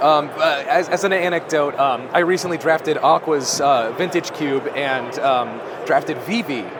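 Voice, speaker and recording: A man talks with hardly any pauses in a fairly high pitch. Noticeable background noise is present. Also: ordinary pitch variation, moderate pace. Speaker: cube content creator, interviewer. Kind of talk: convention interview, casual talk.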